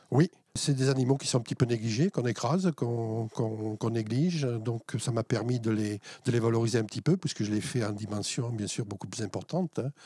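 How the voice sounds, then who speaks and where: In a dry, close sound with no echo, a man with a dark, mellow tone and medium pitch speaks at a moderate pace with ordinary pitch variation. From Alsace, France. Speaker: wire sculptor, former interior architect. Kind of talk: interview. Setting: in his workshop. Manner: hesitant, many fillers.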